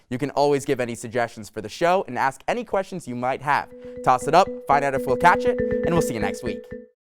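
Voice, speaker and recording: With music in the background, the speech runs at a very fast pace with very wide pitch swings. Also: man, fairly high pitch for a man. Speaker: student sportscaster. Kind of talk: sports talk show.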